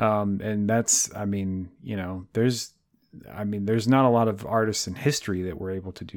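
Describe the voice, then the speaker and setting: The man has an unremarkable speaking voice, pitched fairly low, with fairly even intonation at a moderate pace in a very clean recording with a silent background. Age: 30s. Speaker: podcast co-host and guitarist. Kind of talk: casual chat.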